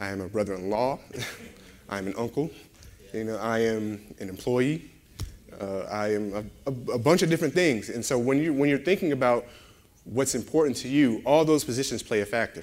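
At a moderate pace, a man talks with lively intonation and long, frequent pauses. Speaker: guest preacher. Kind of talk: sermon.

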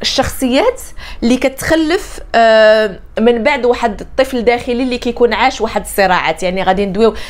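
Talking at a fairly quick pace, a woman uses a fairly high pitch and ordinary pitch variation. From Morocco. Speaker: life coach. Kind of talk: motivational talk to camera. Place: home room.

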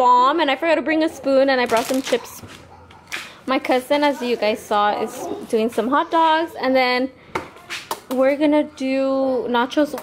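Over noticeable background noise, a woman with a high voice speaks at a fairly slow pace, with ordinary pitch variation and very even loudness. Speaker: vlogger. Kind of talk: casual vlog chat. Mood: cheerful, playful. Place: garage. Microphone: phone near.

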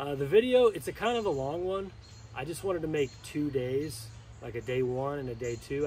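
A man talks at a fairly quick pace with ordinary pitch variation and a somewhat breathy voice. Light background noise can be heard. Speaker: RC hobby channel host. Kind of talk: casual vlog chat. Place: waterside. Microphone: camera far.

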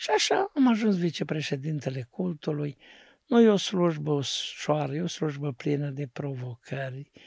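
A man with a fairly high pitch speaks at a fairly slow pace, his voice somewhat breathy with ordinary pitch variation. The sound is dry with no echo, over a quiet background. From Romania, Neamț county (Moldavia); Romania. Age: 60s. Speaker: pastor. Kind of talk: testimony. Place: studio. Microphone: studio mic.

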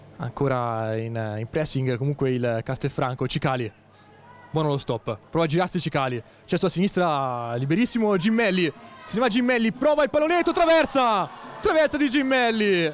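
The speaker sounds animated and excited. Their pitch swings very widely up and down. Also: man, high pitch for a man. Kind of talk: live sports commentary. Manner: fast, excited play-by-play delivery; animated, rising to shouted goal calls.

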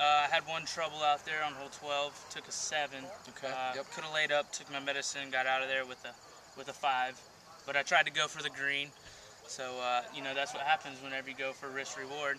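A man's flat, monotone delivery at a fairly quick pace, over noticeable background noise. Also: dry sound with no echo. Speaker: interviewee. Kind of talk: interview answer. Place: open country. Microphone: camera far.

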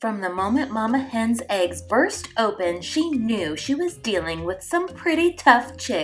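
The voice is plain reading aloud. Nothing else stands out.

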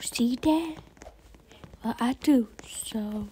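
A high-pitched woman's voice shows ordinary pitch variation against noticeable background noise. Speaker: gaming YouTuber. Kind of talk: gameplay commentary. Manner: animated.

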